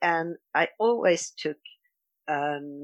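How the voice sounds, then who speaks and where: In a Swedish accent, a woman speaks with a fairly low pitch. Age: 50s. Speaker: dietary coach, retreat organiser. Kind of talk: interview. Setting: laundry room, remote call.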